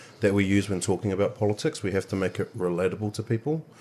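Speaking with a New Zealand accent, a man talks at a fairly quick pace. His pitch is fairly low, and the background is quiet. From New Zealand, Manawatu. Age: 20s. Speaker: party official. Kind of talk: casual chat. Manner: halting.

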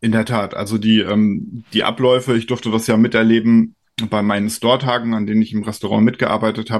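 A man talks at a fairly quick pace with a medium pitch. His intonation is monotone and flat. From Rhineland-Palatinate, Germany. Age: 40s. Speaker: trade association executive. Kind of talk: interview.

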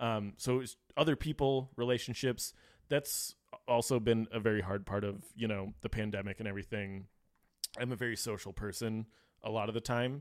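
A man with an unremarkable speaking voice, medium in pitch, at a moderate pace with fairly even intonation. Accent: American. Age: young. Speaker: brewer. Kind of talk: casual chat.

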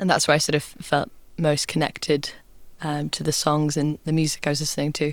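Her voice is very deep and low in pitch, with a British accent. This woman talks at a fairly quick pace in a monotone, flat intonation. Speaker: folk singer-songwriter. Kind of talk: casual interview. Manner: hesitant, many fillers.

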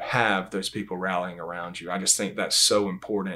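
In a very clean recording with a silent background, a man speaks with a Southern US accent. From Georgia, US. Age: 30s. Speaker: Bible class teacher. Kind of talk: religious discussion.

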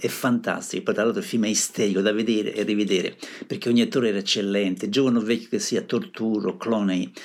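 In a very clean recording against a silent background, an unremarkable speaking voice goes along at a fairly quick pace. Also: man. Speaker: radio music show host. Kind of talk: radio DJ presenting songs. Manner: casual, conversational.

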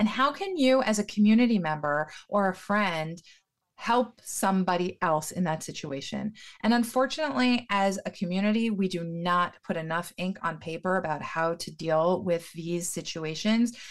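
Speaking at a moderate pace, a woman has a normal speaking voice with an American accent. Her pitch is medium and her intonation lively. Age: 40s. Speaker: professional organizer. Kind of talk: podcast interview.

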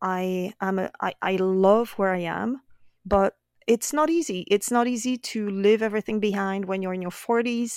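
The recording is very clean, with a silent background and a dry, close sound free of echo. Delivery moves at a moderate pace with ordinary pitch variation. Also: woman, medium pitch for a woman. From France, Brittany. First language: French. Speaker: painter. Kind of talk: casual chat.

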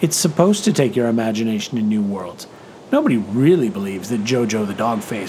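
The clip features a natural reading voice.

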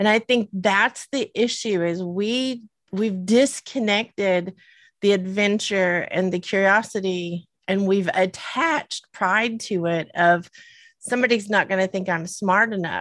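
In a Southern US accent, a woman speaks at a fairly slow pace over a quiet background. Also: medium pitch for a woman, ordinary pitch variation. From US South. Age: 50s. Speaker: podcast co-host. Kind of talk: casual chat. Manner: giggly.

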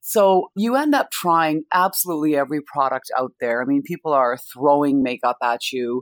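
A woman with a Canadian accent speaks at a moderate pace with hardly any pauses and lively intonation. Her pitch is very deep and low, and the sound is dry and close with no echo. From Canada, Indian family. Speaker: makeup brand founder, former TV broadcaster. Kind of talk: interview.

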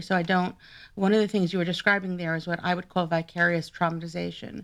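A woman speaks with an American accent at a fairly low pitch. Her intonation stays fairly even. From New York. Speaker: psychoanalyst and podcast host. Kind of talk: casual interview. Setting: remote call from home. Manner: hesitant, many fillers.

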